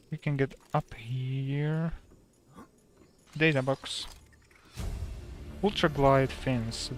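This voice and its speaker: Very slow speech over music in the background. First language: Slovak. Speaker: gaming streamer. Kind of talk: casual livestream commentary.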